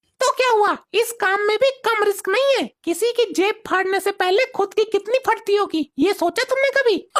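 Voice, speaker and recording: A woman's cartoonish character voice at an extremely high pitch, moderate pace with hardly any pauses and very even loudness, in a dry, close sound with no echo. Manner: bossy, scolding.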